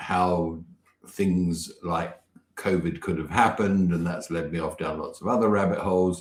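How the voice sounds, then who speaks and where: This man has a very deep, low voice with a British accent. His intonation is monotone and flat. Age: 60s. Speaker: business mentor and campaign founder. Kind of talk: interview.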